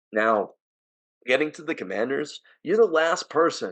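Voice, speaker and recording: With an American accent and an animated tone, the speaker talks at a fairly slow pace. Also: man. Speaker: sports podcast host. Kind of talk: casual chat.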